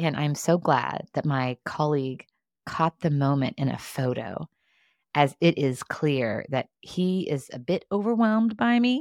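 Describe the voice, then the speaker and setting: A woman speaks at a fairly slow pace, her pitch swinging very widely. The very clean recording has a silent background and a dry, close sound with no echo. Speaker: leadership podcast host. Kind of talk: solo reflective monologue. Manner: loud; high energy, expressive.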